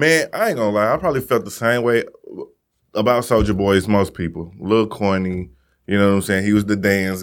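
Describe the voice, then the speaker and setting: A man with an unremarkable speaking voice talks at a fairly quick pace, with fairly even intonation and very even loudness, in a very clean recording with a silent background. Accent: American. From Missouri. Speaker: podcast host. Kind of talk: casual chat.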